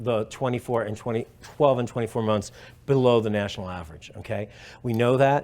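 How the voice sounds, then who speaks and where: The delivery is very fast, with ordinary pitch variation. The speaker has a New York accent. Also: man. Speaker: professor. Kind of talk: conference talk. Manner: hesitant fillers.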